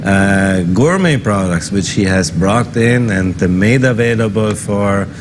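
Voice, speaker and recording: With a German accent and a fairly low pitch, a man talks at a fairly slow pace with hardly any pauses, ordinary pitch variation and very even loudness, over noticeable background noise and audible room echo. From German-speaking northern Italy. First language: German dialect. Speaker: business chamber executive director. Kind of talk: interview.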